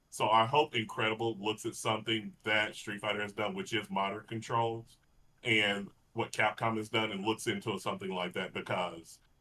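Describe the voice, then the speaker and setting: This speaker uses a Texas accent, fairly even intonation, and a moderate pace. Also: man, fairly low pitch for a man. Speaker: fighting game podcast co-host. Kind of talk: casual chat.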